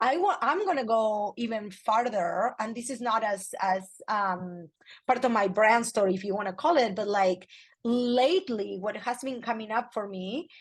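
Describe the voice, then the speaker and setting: The voice sounds energetic and somewhat breathy, moving at a fairly slow pace with ordinary pitch variation. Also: woman. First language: Spanish. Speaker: personal branding expert and photographer. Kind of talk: interview conversation.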